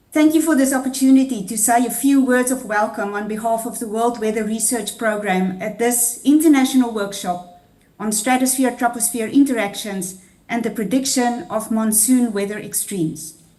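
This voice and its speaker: A woman's fairly high pitch moves at a moderate pace through noticeable background noise. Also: ordinary pitch variation. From South Africa. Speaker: international research programme head. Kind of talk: welcome speech. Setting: video call.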